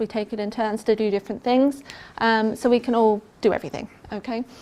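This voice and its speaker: A woman with an English accent talks at a fairly quick pace in a fairly high pitch, her dark, mellow tone held to a flat, monotone intonation. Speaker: pain management nurse specialist. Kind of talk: health talk presentation. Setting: talk to a live audience. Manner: casual, hesitant with frequent ums.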